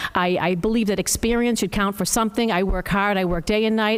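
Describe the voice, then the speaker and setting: Her pace is very fast, and her intonation stays fairly even. This woman's pitch is fairly high. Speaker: town council candidate. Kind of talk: candidate statement at public forum.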